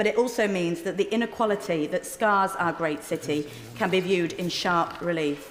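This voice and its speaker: A woman with a Yorkshire accent speaks at a moderate pace with ordinary pitch variation over noticeable background noise. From northern England, Sheffield. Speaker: member of parliament. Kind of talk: parliamentary speech. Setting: parliament chamber. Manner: formal.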